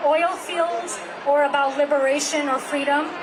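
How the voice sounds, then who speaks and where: With a non-native accent, a woman speaks fairly slowly at a high pitch in a monotone, flat intonation, with noticeable background noise and audible room echo. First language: not English. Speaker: climate activist. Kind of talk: speech at a rally. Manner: halting.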